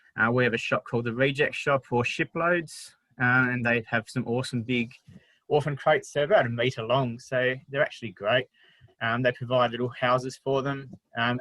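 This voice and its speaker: Recorded dry and close with no echo, a man with an Australian accent speaks at a medium pitch in a bright, sharp tone with fairly even intonation. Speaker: wildlife carer. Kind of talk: online talk presentation. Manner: fast.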